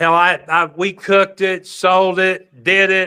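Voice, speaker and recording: A man's high-pitched, raised and projected voice with an American accent and a bright, sharp tone. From Oklahoma, Tulsa. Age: 50s. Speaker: pool player. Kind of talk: casual chat. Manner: animated storytelling.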